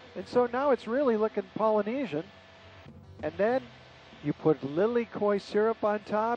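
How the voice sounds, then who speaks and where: A man at a moderate pace with lively intonation, in a dry sound with no echo and music in the background. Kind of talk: tour guide commentary. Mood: friendly, enthusiastic. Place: plane. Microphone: headset.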